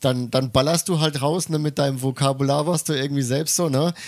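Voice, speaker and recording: An ordinary speaking voice at medium pitch comes from a man in a very clean recording with a silent background. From Germany. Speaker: podcast co-host. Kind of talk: casual chat.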